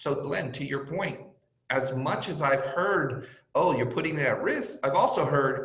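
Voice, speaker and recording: Room echo is audible as a man speaks at medium pitch and a moderate pace. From born in Mexico, raised in US from age five. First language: Spanish. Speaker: sports team executive. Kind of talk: panel interview.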